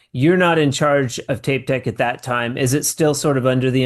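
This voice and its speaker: A man with an ordinary speaking voice talks at a fairly quick pace, medium in pitch and fairly even in intonation, against a quiet background. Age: 40s. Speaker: podcast host. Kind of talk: casual interview.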